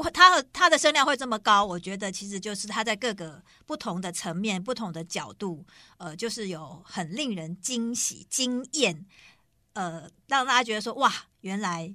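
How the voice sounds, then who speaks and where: Her medium-pitched voice has a bright, sharp tone, very wide pitch swings and big swings in loudness as the woman speaks at a moderate pace on a very clean recording with a silent background. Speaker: podcast co-host. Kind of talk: casual chat.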